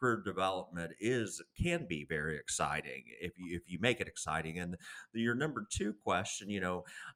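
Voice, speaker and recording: A man with a Southern US accent, a very deep, low pitch, lively intonation, a bright, sharp tone and a moderate pace. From US South. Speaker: career consultant and author. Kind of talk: podcast interview. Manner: blunt.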